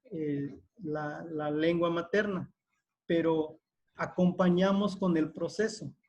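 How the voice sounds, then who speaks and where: A man with a Veracruz accent speaks at a very slow pace in a high pitch, his intonation fairly even. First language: Totonac (speaking Spanish). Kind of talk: panel discussion. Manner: halting, many fillers.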